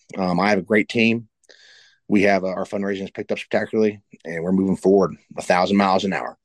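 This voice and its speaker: A very fast pace and fairly even intonation in an Appalachian accent, with a dry, close sound and no echo. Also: man. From West Virginia. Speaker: political candidate. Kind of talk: interview.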